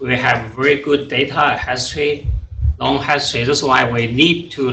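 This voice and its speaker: A man is speaking with an audible room echo. Noticeable background noise can be heard. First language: not English (third language). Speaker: water quality scientist. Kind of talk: technical presentation. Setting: presentation to an audience. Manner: halting, many fillers.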